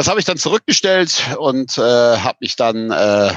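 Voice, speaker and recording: A man's pitch swings very widely in a dry, close sound with no echo. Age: 40s. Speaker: camping store owner. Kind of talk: casual interview.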